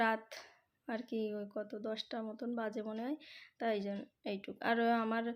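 A fairly high-pitched woman's voice in a monotone, flat delivery, with a very clean recording and a silent background. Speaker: vlogger. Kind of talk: casual vlog narration.

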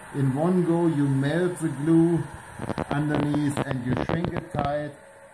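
Here a man speaks with a German accent at a fairly high pitch and a fairly slow pace. Audible room echo and light background noise are present. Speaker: aircraft fabric supplier; fabric covering instructor. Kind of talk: tutorial. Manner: casual, impromptu. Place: workshop.

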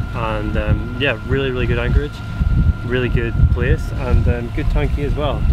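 A man talks at a fairly quick pace. The sound is dry with no echo, though loud background noise is present. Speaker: sailing vlogger. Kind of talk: casual vlog chat. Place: boat. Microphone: phone near.

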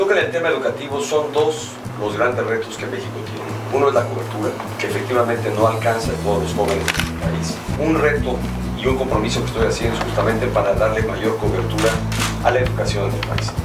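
Talking very quickly, a man is heard with music playing behind him. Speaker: candidate. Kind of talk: interview answer. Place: studio.

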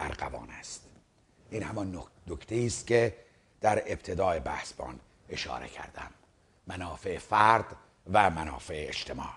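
A man with a fairly low pitch and vocal fry speaks at a fairly slow pace. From Iran. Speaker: video commentator. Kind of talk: monologue replying to a viewer letter. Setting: seated in front of a camera. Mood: serious, argumentative. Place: studio. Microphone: lapel.

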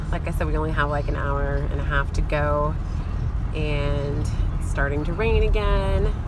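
Moderate pace against loud background noise, in a dry sound with no echo. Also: woman. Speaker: mom vlogger. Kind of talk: casual vlog chat. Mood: cheerful, relaxed. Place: car. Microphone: phone near.

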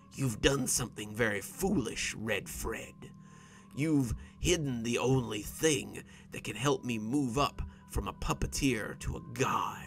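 A man puts on a wheezy, hissing character voice at a medium pitch. He speaks at a fairly slow pace over clear background music. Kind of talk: horror narration. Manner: menacing, mocking, threatening.

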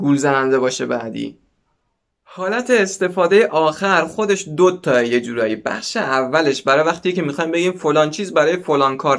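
The recording has a quiet background. Against it, a man talks with lively intonation. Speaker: language teacher. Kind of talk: tutorial. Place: home room. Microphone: lapel.

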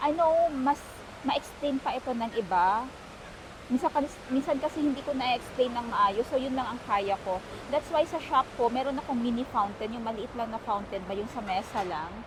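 A woman with a high pitch talks at a moderate pace with lively intonation over noticeable background noise. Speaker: vlogger. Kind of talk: travel vlog. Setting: out and about, mall and taxi.

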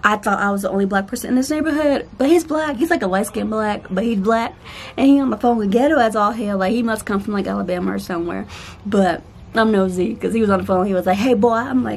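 Over light background noise, a woman speaks very fast in a somewhat breathy voice. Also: ordinary pitch variation. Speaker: vlogger. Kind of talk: casual vlog chat. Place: garden. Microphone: phone near.

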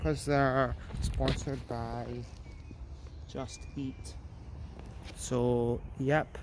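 A man with a Glasgow accent is heard in a dry sound with no echo over light background noise. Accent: Scottish (Glasgow). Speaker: vlogger. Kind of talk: casual vlog narration. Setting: outdoors. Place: street. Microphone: phone near.

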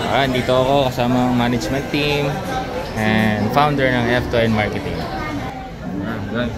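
A man speaks at a fairly slow pace with clear music playing behind him. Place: cafe. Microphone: phone near.

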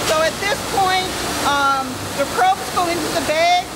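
Over loud background noise, the voice shows ordinary pitch variation. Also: woman. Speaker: plant tour guide. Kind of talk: tour explanation. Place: factory. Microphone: handheld.

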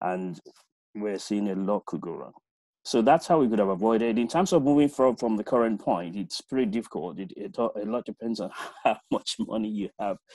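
A man's fairly low, dark, mellow voice at a fairly quick pace with lively intonation, in a dry sound with no echo and a quiet background. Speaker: project management consultant; webinar presenter. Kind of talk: webinar discussion. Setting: video call. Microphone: video call.

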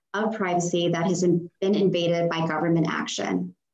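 A woman speaks at a moderate pace against a quiet background, with audible room echo. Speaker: law student. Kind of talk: oral argument. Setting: video call. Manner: formal. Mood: formal, measured. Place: home room. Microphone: video call.

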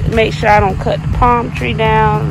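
Music plays behind a woman's voice, and the sound is dry with no echo. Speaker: vlogger. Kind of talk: casual vlog chat. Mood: nervous, joking. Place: garden. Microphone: phone near.

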